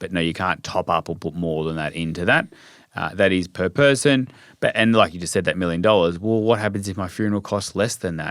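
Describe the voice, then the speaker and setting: A man with an Australian accent, a very deep, low pitch and a fairly quick pace. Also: ordinary pitch variation, very clean recording, silent background. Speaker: financial advisor. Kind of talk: podcast interview.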